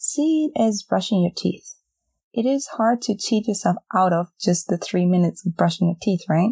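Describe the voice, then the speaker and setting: A woman with a gentle, calm, dark and mellow tone speaks somewhat breathily with ordinary pitch variation, recorded very cleanly against a silent background with a dry, close sound and no echo. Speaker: podcast host and meditation guide. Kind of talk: guided meditation. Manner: slow, calm, soothing, with long pauses; gentle, soft-spoken, instructing listener to repeat phrases silently.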